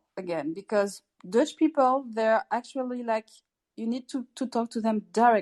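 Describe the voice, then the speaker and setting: A woman with a French accent speaks at a moderate pace. The sound is dry and close, with no echo. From France. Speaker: participant. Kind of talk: casual group chat. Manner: halting, repeats words.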